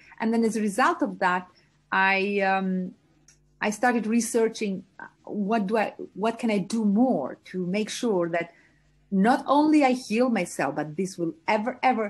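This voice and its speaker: The speaker has an Albanian accent and lively intonation. The pace is fairly slow, with a quiet background. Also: woman. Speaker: entrepreneur and mentor. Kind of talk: interview. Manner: hesitant with fillers.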